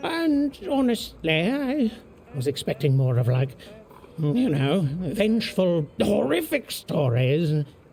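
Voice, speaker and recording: A put-on character voice at middle pitch and a fairly slow pace, with clear background noise. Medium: video game. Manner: excitable, laughs often, stammers.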